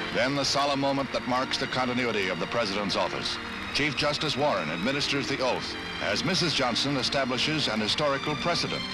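A man at medium pitch and a very fast pace, with ordinary pitch variation and very even loudness, music playing in the background. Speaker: newsreel narrator. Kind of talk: 1960s newsreel narration.

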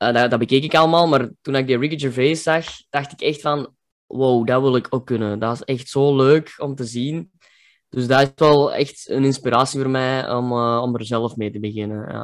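The speaker has a Kempen accent and a moderate pace. Intonation is fairly even, over a quiet background. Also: man, medium pitch for a man. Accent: Kempen Flemish dialect. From Kempen, Belgium. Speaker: comedian. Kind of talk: interview answer. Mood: cheerful, relaxed, smiling. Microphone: video call.

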